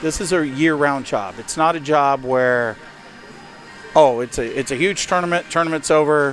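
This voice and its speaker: Noticeable background noise sits beneath speech delivered at a moderate pace with ordinary pitch variation. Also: man, fairly high pitch for a man. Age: 50s. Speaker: roller hockey tournament owner. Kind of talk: casual chat. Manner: halting.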